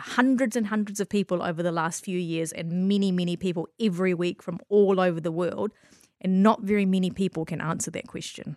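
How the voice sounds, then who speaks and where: A woman with a New Zealand accent speaks at a fairly quick pace. Her pitch sits in the medium range. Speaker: spiritual healer and businesswoman. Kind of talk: casual interview.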